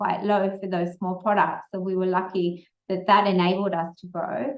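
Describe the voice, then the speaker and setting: A woman speaks at a moderate pace. She has an Australian accent. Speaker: entrepreneur, company founder. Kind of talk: Q&A answers at a speaker session. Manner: casual, with hesitations.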